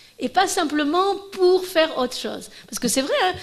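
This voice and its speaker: A woman talks at a moderate pace amid noticeable background noise. Audible room echo can be heard. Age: 60s. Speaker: professor giving a conference. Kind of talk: Q&A after lecture. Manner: halting, many false starts.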